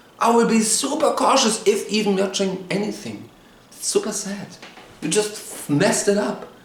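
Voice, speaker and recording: Noticeable background noise and audible room echo surround a man with a high pitch who speaks at a moderate pace in an animated tone. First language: German. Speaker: TV show reviewer, YouTuber. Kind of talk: rant.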